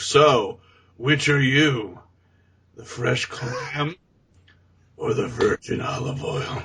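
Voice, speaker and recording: A man does a raspy, put-on character voice at a fairly high pitch, with big swings in loudness. He goes at a very slow pace with long, frequent pauses. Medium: solo performance. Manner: creepy, falsely polite.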